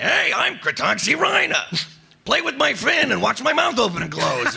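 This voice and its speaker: A put-on character voice at a moderate pace. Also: man, extremely high pitch for a man. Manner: cheerful, playful toy-like.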